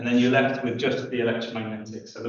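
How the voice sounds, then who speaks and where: A man speaks in a somewhat breathy voice. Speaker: physics lecturer. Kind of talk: lecture. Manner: halting, many fillers.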